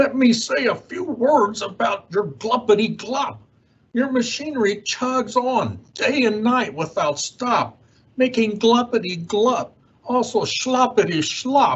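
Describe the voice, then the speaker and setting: Doing a put-on character voice, a man speaks at a fairly slow pace with an extremely high pitch. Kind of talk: children's read-aloud character voice. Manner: bossy, scolding.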